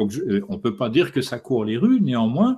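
Over a quiet background, a somewhat breathy voice speaks at a moderate pace. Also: man. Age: 60s. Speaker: esoteric author; interviewee. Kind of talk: interview. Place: home room. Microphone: studio mic.

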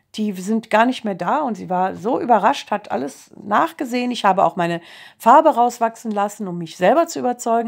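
Over a quiet background, a woman at a fairly high pitch speaks at a fairly quick pace with lively intonation and big swings in loudness. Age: 50s. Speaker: kindergarten teacher giving a testimonial. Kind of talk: testimony. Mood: calm, earnest. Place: home room. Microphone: phone near.

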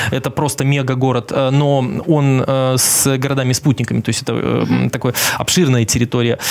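This is a man talking. His pace is moderate. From Belarus. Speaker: journalist and TV correspondent. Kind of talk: casual interview chat. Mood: relaxed, smiling. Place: studio. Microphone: headset.

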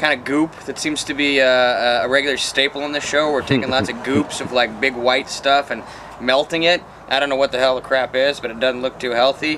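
Over light background noise, a man speaks fairly quickly in a monotone, flat intonation. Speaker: web show host. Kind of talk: casual review commentary. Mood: jokey, relaxed. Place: garden. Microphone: camera far.

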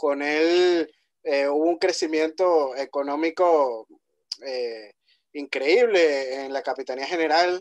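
A man with a fairly high pitch and ordinary pitch variation speaks in a quiet setting. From Venezuela, Puerto La Cruz; Venezuela. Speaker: podcast host. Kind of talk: podcast interview. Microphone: video call.

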